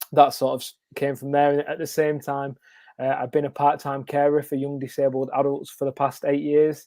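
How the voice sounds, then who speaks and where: This man speaks at a moderate pace with a northern English accent. His fairly high voice has a dark, mellow tone and monotone, flat intonation. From northern England, Wigan. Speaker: children's author and former teacher. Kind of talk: casual interview.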